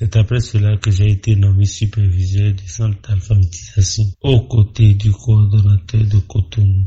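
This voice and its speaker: Speaking fairly slowly with hardly any pauses, a man with a Beninese accent has a somewhat breathy voice and fairly even intonation. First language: Fon (speaking French). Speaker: court officer. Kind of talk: radio interview. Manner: formal.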